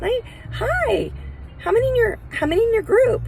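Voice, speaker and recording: The voice is a squeaky put-on character voice at a moderate pace. Clear background noise runs underneath. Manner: overly joyful, phony.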